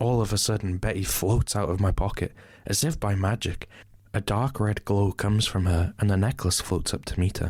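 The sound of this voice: The pitch varies in an ordinary way as an unforced reading voice goes on.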